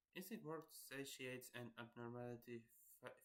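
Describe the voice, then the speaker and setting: Quietly and at a fairly slow pace, a man speaks at medium pitch. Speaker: gaming streamer. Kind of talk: let's play commentary, reading game tutorial aloud. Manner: halting.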